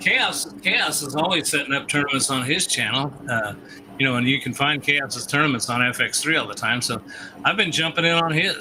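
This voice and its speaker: A man with a fairly high pitch talks at a very fast pace with lively intonation. Noticeable background noise runs underneath. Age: 60s. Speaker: pinball tournament organizer on gaming stream. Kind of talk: casual chat. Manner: casual, rambling.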